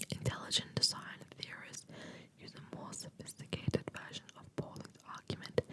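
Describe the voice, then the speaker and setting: A woman's whisper, delivered at a moderate speed, comes through noticeable background noise. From Spanish and Australian. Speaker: ASMR creator. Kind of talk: ASMR reading of philosophy. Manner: whispered, soft.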